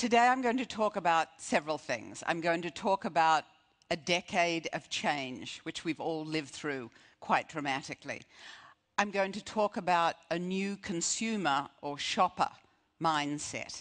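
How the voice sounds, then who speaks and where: Over a quiet background, a woman with a fairly low pitch speaks at a fairly slow pace with lively intonation. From Australia. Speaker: retail strategist, keynote speaker. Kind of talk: conference keynote speech.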